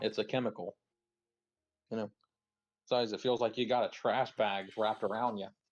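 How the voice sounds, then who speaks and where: A man talks at a fairly quick pace with a medium pitch. His intonation stays fairly even. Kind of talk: casual chat. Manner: fast.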